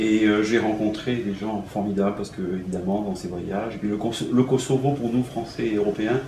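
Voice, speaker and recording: A man with a fairly low pitch talks at a moderate pace with fairly even intonation. Noticeable background noise and audible room echo are present. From Algeria, raised in France from childhood. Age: 60s. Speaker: concert pianist. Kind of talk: interview. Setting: at his home. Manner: halting, many hesitations and repetitions.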